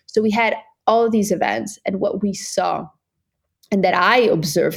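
A woman's pitch varies in an ordinary way as she speaks at moderate speed. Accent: Swiss Italian. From Italian-speaking Switzerland. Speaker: impact network founder and CEO. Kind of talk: interview conversation.

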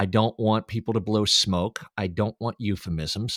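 This is a normal speaking voice: a man at a fairly low pitch with ordinary pitch variation, talking at a fairly slow pace. The recording is very clean with a silent background and a dry, close sound with no echo. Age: 50s. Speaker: voice actor and producer. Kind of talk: casual chat.

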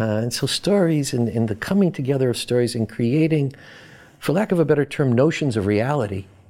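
A man speaks with an American accent at a fairly quick pace. He has an ordinary speaking voice with lively intonation. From Boston, US. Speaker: professor. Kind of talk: interview.

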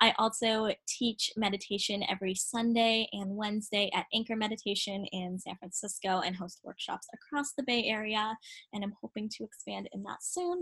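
Talking at a fairly quick pace, a woman with a plain, everyday voice has a fairly high pitch and ordinary pitch variation. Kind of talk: guided meditation.

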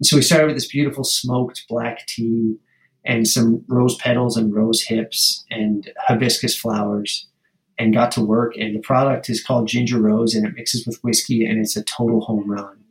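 A man's somewhat breathy voice at medium pitch, with fairly even intonation and a moderate pace. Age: 40s. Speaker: drinks company founder. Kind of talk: interview.

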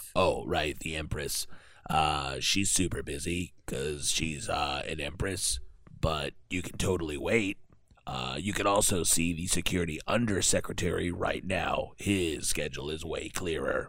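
Doing a raspy put-on character voice, a man speaks at a moderate pace with a very deep, low pitch. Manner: casual, dismissive, chatty.

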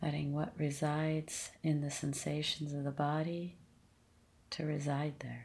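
At a fairly slow pace, a woman uses a very deep, low pitch and a calm, gentle tone. Her intonation is monotone and flat, and her voice is somewhat breathy. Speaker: meditation teacher. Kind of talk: guided meditation. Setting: seated, leading a group practice. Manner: slow, calm, gentle and soothing, with long pauses; soft-spoken, unhurried, compassionate.

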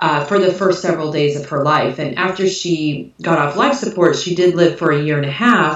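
Delivered with hardly any pauses in an American accent, the speech comes over noticeable background noise. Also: woman, fairly low pitch for a woman, ordinary pitch variation, moderate pace. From US Midwest. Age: 40s. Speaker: author.

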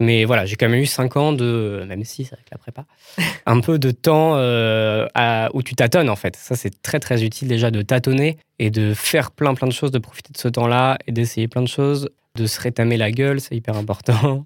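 A man's medium-pitched, ordinary speaking voice at a moderate pace, fairly even in intonation, with a dry, close sound, no echo, and a very clean recording against a silent background. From France, Paris region (Val-d'Oise). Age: 20s. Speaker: film director and art student. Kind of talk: casual interview.

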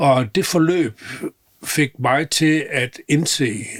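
A man speaks in a somewhat breathy voice. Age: 80s+. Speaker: retired business mentor. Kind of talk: interview. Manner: halting.

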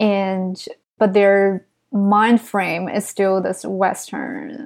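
This woman talks at a medium pitch with a Chinese accent and fairly even intonation. Her pace is very slow, on a very clean recording with a silent background. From China. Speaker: writer. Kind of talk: casual interview.

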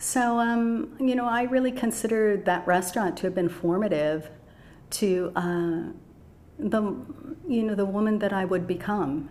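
Speaking with an American accent at a medium pitch and moderate pace, a woman uses ordinary pitch variation and very even loudness, leaving long, frequent pauses in a room with audible echo. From US Midwest, Chicago suburbs. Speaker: gong player and yoga teacher. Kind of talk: casual interview chat.

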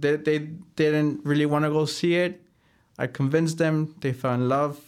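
A man with a Spanish accent talks at a moderate pace. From Chicago and Mexico. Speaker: real estate broker. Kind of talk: casual interview.

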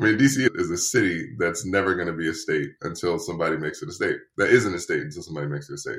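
A man with an American accent, very fast delivery and hardly any pauses. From US East Coast, Washington D.C. area. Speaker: men's coach. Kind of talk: casual interview.

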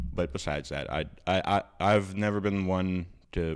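With an American accent, a man is talking. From US South, South Louisiana. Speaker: podcast co-host. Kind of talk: casual chat. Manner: soft-spoken.

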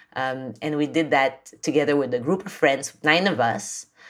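This woman's voice sits at a very deep, low pitch. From Philippines. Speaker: NGO founder and author. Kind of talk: interview.

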